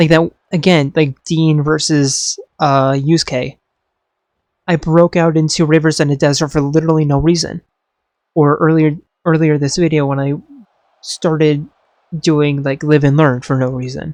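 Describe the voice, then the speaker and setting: Speaking at a moderate pace with long, frequent pauses, a man with fairly high pitch keeps a monotone, flat intonation in a dry, close sound with no echo. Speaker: wrestling series creator and commentator. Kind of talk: casual off-the-cuff monologue. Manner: halting, self-interrupting.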